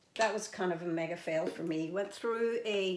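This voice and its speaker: A woman talks at a moderate pace with fairly even intonation, and audible room echo surrounds her words. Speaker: beauty and fragrance vlogger. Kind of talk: casual product review. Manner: many fillers (um, uh).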